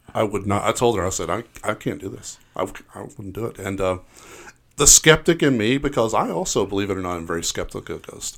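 Over a very clean recording with a silent background, a man talks fairly quickly in a fairly low pitch. He has an unremarkable speaking voice with lively intonation. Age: 50s. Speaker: stand-up comedian. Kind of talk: casual interview chat.

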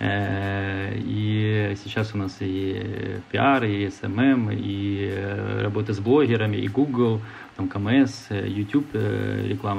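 A man's fairly low voice over music in the background, with fairly even intonation. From Ukraine. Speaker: entrepreneur. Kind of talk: interview. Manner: hesitant with fillers.

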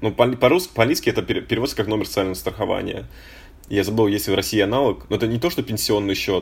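Speaking at a very fast pace, a man with vocal fry and a fairly low pitch shows ordinary pitch variation. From Russia, Voronezh. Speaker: podcast co-host. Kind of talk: casual chat.

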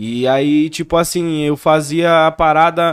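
Fairly even in intonation, a man speaks in a dry, close sound with no echo. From Brazil, São Paulo state (Campo Limpo Paulista). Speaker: grime MC. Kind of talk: casual chat.

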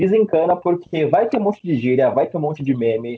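A man talks at a moderate pace. His voice is fairly high. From São Paulo, Brazil. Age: 20s. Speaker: English teacher and IT student. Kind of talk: casual interview. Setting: video call. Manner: halting.

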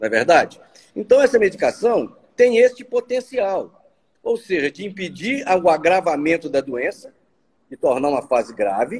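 A man speaks at a high pitch with very wide pitch swings. His pace is moderate. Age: 60s. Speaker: physician. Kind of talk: interview.

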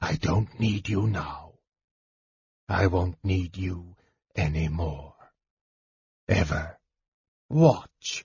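A quiet, put-on character voice with a husky, rough edge and a slightly mellow tone moves at a very slow pace. It shows ordinary pitch variation and long, frequent pauses. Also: man, low pitch for a man.

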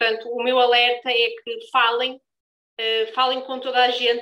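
A woman's high voice comes across with a bright, sharp tone. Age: 20s. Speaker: brand founder moderating a panel. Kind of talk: live panel discussion.

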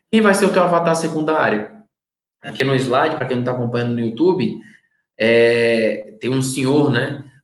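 A man of medium pitch speaks with lively intonation, his voice carrying audible room echo. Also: moderate pace. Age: 30s. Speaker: marketing consultant. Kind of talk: live-streamed lecture.

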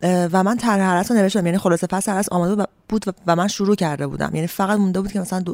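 A woman at a very fast pace with fairly even intonation, on a very clean recording with a silent background. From Iran, Ahvaz. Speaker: novelist. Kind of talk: interview.

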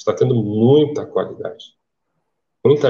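Breath comes through somewhat in this man's voice. His tone is dark and mellow. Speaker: comics writer. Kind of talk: casual chat.

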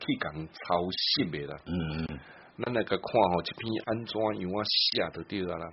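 A man speaks at a fairly slow pace. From Taiwan. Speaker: radio host. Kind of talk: radio talk show chat.

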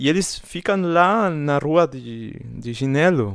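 A man talks with lively intonation in an Argentine accent. The recording is very clean, with a silent background. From Argentina. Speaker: podcast co-host. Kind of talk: casual chat.

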